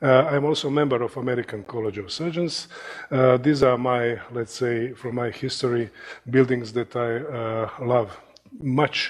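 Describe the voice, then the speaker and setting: In a Croatian accent, a man speaks at medium pitch and moderate pace with fairly even intonation amid noticeable background noise. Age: 60s. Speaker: surgeon and professor. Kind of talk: lecture. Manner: halting, many fillers.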